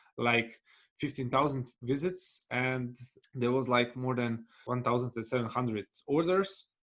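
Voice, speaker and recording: A man's medium-pitched voice at a fairly slow pace, with ordinary pitch variation. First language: Bosnian/Serbian/Croatian. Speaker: business development manager and cloud solutions architect. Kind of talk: webinar presentation with Q&A. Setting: online webinar. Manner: halting, with frequent fillers.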